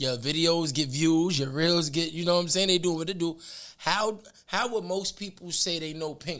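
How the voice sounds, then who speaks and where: With a New York accent, a man speaks at a moderate pace. His pitch is high, with ordinary variation. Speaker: podcast host, former rapper. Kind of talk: casual interview chat.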